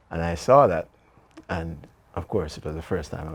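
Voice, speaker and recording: A man speaks at a fairly quick pace in a very deep, low voice. His delivery is somewhat breathy. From Jamaica, Manchester parish and Kingston. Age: 70s. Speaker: author and retired business executive. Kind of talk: interview.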